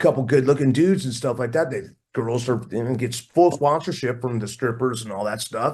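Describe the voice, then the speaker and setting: A man with an American accent and a medium pitch, somewhat breathy, at a fairly quick pace with lively intonation, against a quiet background. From US West Coast, Oakland, California. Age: 60s. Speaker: rock drummer. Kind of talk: casual interview chat. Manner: animated.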